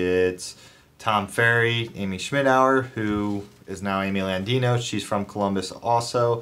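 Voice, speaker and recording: Fairly low in pitch, a man speaks with fairly even intonation in an unremarkable speaking voice. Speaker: real estate agent vlogger. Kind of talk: casual vlog chat. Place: office. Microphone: phone near.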